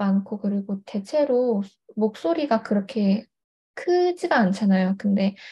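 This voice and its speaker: With lively intonation, a woman talks fairly slowly in a somewhat breathy voice. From China (Hangzhou), Korean family. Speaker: university student and tutor. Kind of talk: interview. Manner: hesitant, many fillers.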